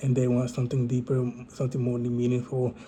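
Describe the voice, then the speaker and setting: A man's medium-pitched voice sounds dark, mellow and somewhat breathy. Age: 20s. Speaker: vlogger. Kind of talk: casual monologue to camera. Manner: halting, many fillers.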